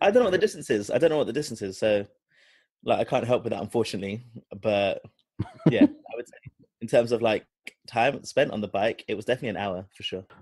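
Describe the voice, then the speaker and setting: A man speaks in a British accent at a medium pitch and a fairly quick pace, his intonation lively. Long, frequent pauses break up his speech, and the sound is dry and close with no echo. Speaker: podcast host.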